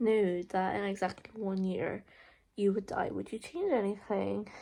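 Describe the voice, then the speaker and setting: A woman with a medium-pitched voice speaks with fairly even intonation. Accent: Irish. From Ireland, County Monaghan. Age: 20s. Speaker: college student vlogger. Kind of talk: casual Q&A vlog. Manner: hesitant, lots of fillers.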